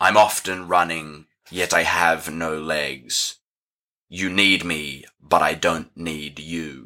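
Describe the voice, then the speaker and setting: Putting on a character voice, a man booms in a raspy, very deep, low pitch at a very slow pace with fairly even intonation. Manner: ominous, riddling.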